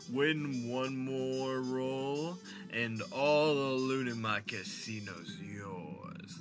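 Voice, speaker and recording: A man puts on a character voice at a medium pitch. He talks at a very slow pace over clear background noise. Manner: taunting, challenging.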